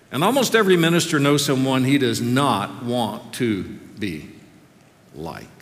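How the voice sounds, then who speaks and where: This man talks at a moderate pace in a medium pitch, with very wide pitch swings, vocal fry, and long, frequent pauses. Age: 60s. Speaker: seminary professor preaching. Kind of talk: sermon. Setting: chapel with audience.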